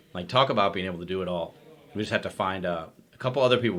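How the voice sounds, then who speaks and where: Loud and bright, sharp in tone, a man talks at a fairly low pitch with ordinary pitch variation. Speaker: chiropractor, clinic owner. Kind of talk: casual chat. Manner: animated.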